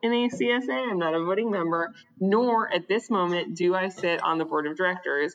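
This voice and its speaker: A woman speaks at a moderate pace in a medium-pitched voice with ordinary pitch variation. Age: 30s. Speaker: distiller. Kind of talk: casual chat. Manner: animated.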